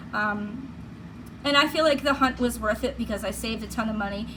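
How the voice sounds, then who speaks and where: At a moderate pace and with ordinary pitch variation, the speaker talks in a Boston accent amid noticeable background noise and audible room echo. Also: woman. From Massachusetts (Plymouth, Boston area). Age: 50s. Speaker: beauty vlogger. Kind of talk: product review. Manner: casual, chatty.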